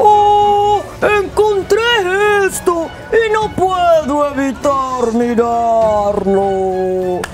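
A put-on character voice at a high pitch moves at a very slow pace over loud background music. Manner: exaggerated, loud, expressive.

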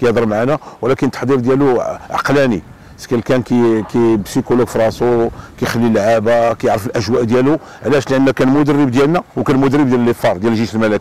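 Fairly even in intonation, the voice races at a very fast pace in a dry sound with no echo. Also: man. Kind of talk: interview answer. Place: waterside. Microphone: lapel.

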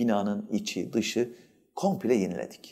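Very slowly, a man talks over a quiet background. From Antalya province, Turkey; Turkey. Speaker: journalists' association president. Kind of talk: interview; interview answer. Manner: hesitant, many filler sounds. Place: studio.

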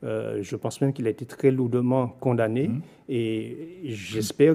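A man with a dark, mellow tone and medium pitch speaks at a moderate pace with ordinary pitch variation. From Guadeloupe. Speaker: local politician, mayor. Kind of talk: political interview. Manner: formal. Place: studio. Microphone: studio mic.

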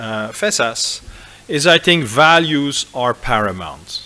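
With lively intonation, a man talks at a very slow pace. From Belgium, Flanders. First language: Dutch (Flemish). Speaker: business school professor. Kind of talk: lecture. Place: hall. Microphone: podium.

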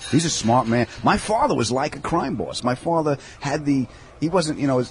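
Light background noise sits under a man's voice. He keeps a moderate pace with ordinary pitch variation. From New York (Long Island); New York. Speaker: comedian. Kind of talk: casual interview chat. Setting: in a deli. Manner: animated. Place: cafe.

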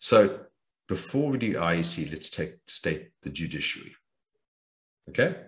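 Somewhat breathy and very deep in pitch, a man speaks at a fairly slow pace with long, frequent pauses. His pitch swings are very wide, and the background is quiet. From South Africa, Johannesburg. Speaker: businessman and private investor; interview guest. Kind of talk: interview. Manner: animated. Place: home room. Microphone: video call.

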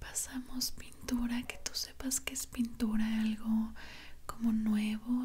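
A soft-spoken woman talks at a very slow pace. Light background noise sits behind her. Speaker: relaxation video creator. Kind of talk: soft relaxing roleplay talk. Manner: soft-spoken, hushed ASMR voice. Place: home room.

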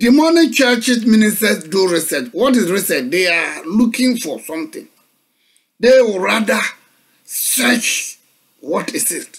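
Speaking fairly slowly with a Ghanaian accent, a man uses a high pitch that swings very widely, over a quiet background. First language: Akan. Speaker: pastor. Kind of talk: sermon. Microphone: webcam.

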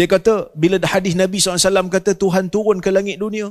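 In a quiet background, a man's voice sits at a high pitch. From Malaysia. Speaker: Islamic scholar and university rector. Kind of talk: religious forum talk. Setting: mosque with audience. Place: church. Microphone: handheld.

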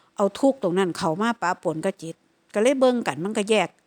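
In an Isan accent, a woman with a medium pitch uses lively intonation, recorded dry and close with no echo. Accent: Isan (Lao) accented Thai. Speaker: Buddhist meditation practitioner. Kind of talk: dharma talk.

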